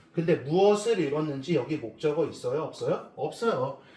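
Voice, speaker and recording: A man with a fairly high pitch speaks at a moderate pace with lively intonation. There is audible room echo and noticeable background noise. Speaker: English teacher. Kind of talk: lecture.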